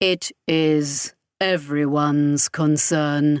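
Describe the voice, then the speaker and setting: Using a put-on character voice, the speaker talks very slowly in a low-to-middle pitch with monotone, flat intonation, recorded very cleanly against a silent background. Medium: read story. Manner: calm, detached, unemotional.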